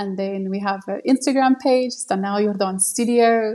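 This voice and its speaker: Delivered with a South African accent at a moderate pace, the speech has fairly even intonation on a very clean recording with a silent background. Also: woman. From South Africa, Cape Town. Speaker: live wedding painter, artist. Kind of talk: interview.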